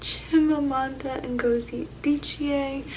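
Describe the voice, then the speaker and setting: Noticeable background noise accompanies a woman who is soft-spoken. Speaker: booktube vlogger. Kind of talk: casual vlog. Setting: at home at night.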